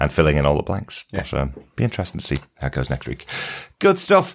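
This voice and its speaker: Vocal fry colors this man's speech. His voice sits very deep and low in pitch. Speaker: podcast host. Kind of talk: casual chat.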